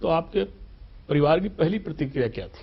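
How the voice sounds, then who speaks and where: The man's intonation is lively and his voice a little breathy. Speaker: TV interviewer. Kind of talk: interview questions.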